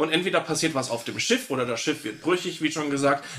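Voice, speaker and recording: Over noticeable background noise, a man with a fairly high pitch and ordinary pitch variation talks at a fairly quick pace. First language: grew up trilingual (speaking German). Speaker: podcast co-host, tabletop roleplayer. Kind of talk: casual chat.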